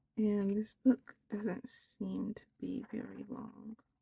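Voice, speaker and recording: The voice is soft-spoken, with vocal fry and a dark, mellow tone. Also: woman, dry, close sound with no echo. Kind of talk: soft-spoken ASMR book haul, casual rambling to camera. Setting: home recording, ASMR-style. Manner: soft-spoken, slow, hesitant with some stuttering.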